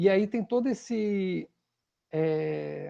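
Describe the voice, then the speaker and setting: This man's voice is high-pitched. Its tone is dark and mellow. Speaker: political science professor. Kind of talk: lecture. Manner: halting, many repetitions and fillers.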